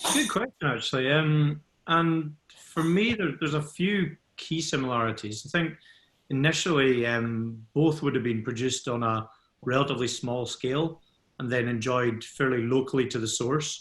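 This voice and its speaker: The speaker has a Scottish accent and ordinary pitch variation. The pace is moderate. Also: man, medium pitch for a man. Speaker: scotch whisky ambassador. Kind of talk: expert Q&A in webinar.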